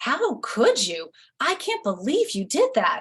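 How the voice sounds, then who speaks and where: A woman's put-on character voice, high in pitch, with very wide pitch swings and a fairly slow pace. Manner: angry, scolding, accusing.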